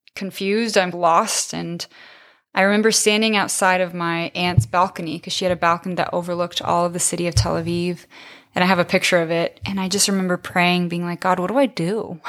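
A woman with an American accent talks at a fairly quick pace and medium pitch, her intonation fairly even, on a very clean recording with a silent background. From US West Coast, San Diego. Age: 20s. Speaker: church member sharing testimony. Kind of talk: testimony.

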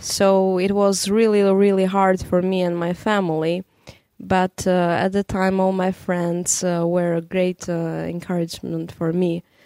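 A woman with an Albanian accent speaks at medium pitch in a dark, mellow tone. Her pace is fairly slow and her intonation monotone and flat. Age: young. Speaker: radio programming director. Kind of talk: interview.

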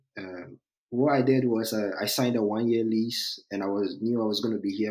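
Speaking with a Ghanaian accent, a man talks at a moderate pace and a medium pitch, his intonation fairly even. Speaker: test engineer, recent graduate. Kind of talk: casual interview conversation. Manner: hesitant, filler words.

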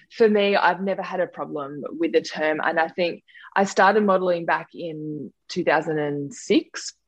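Speaking at a fairly slow pace, a woman uses a fairly low pitch with ordinary variation. She has an Australian accent. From Australia, Sutherland Shire in New South Wales. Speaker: scientist, model and reality show contestant. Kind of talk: interview.

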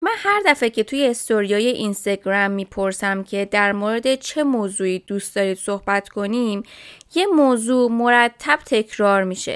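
An ordinary speaking voice from a woman, fairly high in pitch with ordinary pitch variation, dry and close with no echo, on a very clean recording with a silent background. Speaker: chiropractor and health podcast host. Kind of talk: casual educational talk.

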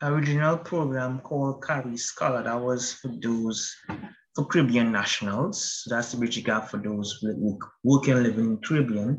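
Fairly slow, somewhat breathy speech from a man. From Trinidad and Tobago. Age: 20s. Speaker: project management student. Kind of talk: interview.

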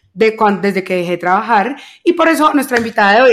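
This woman speaks at a moderate pace in a fairly high pitch. The recording is very clean, with a silent background. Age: 30s. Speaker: podcast co-host. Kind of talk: casual chat.

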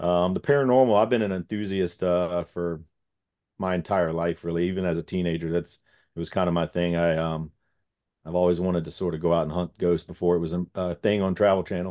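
A man's very deep, low voice with a dark, mellow tone, an American accent, fairly even intonation and a fairly quick pace. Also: dry, close sound with no echo. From Gloucester County, Virginia. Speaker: firefighter and paranormal investigator. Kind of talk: casual interview chat.

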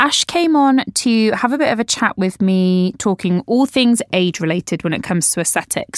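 Delivered at a moderate pace with lively intonation in a British accent, the voice sounds dry and close with no echo on a very clean recording with a silent background. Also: woman. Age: 30s. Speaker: podcast host. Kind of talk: casual interview.

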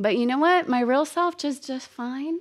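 Lively intonation runs through a woman's high-pitched voice. The recording is very clean, with a silent background. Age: 50s. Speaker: podcast host. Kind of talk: casual solo monologue. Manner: animated, frequent laughter.

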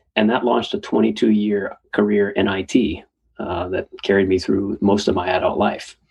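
This man has vocal fry and an American accent, speaking at a moderate pace. His fairly low voice stays monotone and flat. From US Northeast, suburb of Boston, Massachusetts. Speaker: executive coach and comedian. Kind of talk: casual interview chat. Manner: halting, many fillers.

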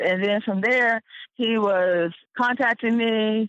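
Speaking at a fairly slow pace, a woman with a North Carolina accent uses a fairly high pitch and ordinary pitch variation. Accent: North Carolina Southern American. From North Carolina, Wake County. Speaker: former injury claimant. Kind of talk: interview testimony.

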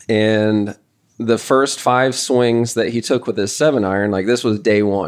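Here is a man with an ordinary speaking voice, fairly low in pitch and fairly slow in pace. His intonation is fairly even, and the background is quiet. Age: 30s. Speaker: golf coach and podcast host. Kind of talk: casual podcast chat.

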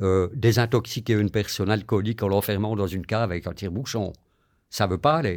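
The recording is very clean, with a silent background. A man speaks at a fairly quick pace with ordinary pitch variation. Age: 60s. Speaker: long-term HIV patient. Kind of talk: interview testimony.

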